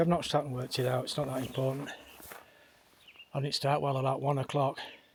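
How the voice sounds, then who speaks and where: Pausing long and often, a man with a fairly high pitch speaks in a somewhat breathy voice with monotone, flat intonation. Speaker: hiking vlogger. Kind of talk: vlog narration. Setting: outdoors. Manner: casual, rambling.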